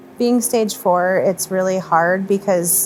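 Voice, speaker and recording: With music in the background, a woman of medium pitch speaks at a fairly slow pace and varies her pitch in an ordinary way. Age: 30s. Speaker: cancer patient. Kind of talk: interview answer.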